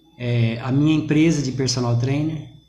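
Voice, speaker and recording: In a room with audible echo, a soft-spoken man talks with fairly even intonation. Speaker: personal trainer, business owner. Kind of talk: live online interview. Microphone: too quiet.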